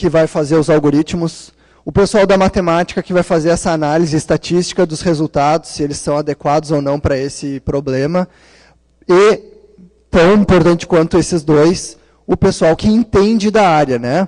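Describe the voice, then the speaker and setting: A man's fairly high, ordinary speaking voice with ordinary pitch variation at a moderate pace. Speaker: conference speaker, PhD student in data science. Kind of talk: conference talk. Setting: conference room with audience.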